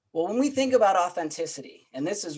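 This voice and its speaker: A man is speaking. His intonation is lively. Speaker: diversity and inclusion speaker. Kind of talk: presentation. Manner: fast; hesitant, many fillers.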